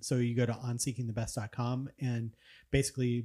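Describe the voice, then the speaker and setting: A man's medium-pitched, dark, mellow voice, somewhat breathy, in a monotone, flat delivery at a fairly quick pace, on a very clean recording with a silent background. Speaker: podcast host. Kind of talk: casual chat.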